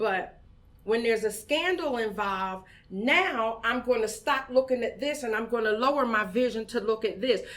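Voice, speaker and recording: An unremarkable speaking voice: a woman with an American accent, fairly high in pitch, with ordinary pitch variation at a moderate pace. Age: 50s. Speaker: community organizer, founder of women's voting group. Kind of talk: podcast interview.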